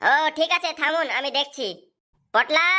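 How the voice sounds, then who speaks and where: A squeaky, cartoonish character voice. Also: woman, high pitch for a woman. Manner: calm, crafty.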